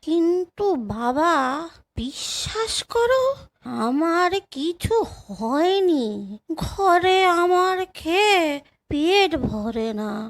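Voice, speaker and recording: Using a put-on character voice, a woman speaks at a very slow pace. Her pitch is extremely high and swings very widely. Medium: read story. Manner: plaintive, rustic.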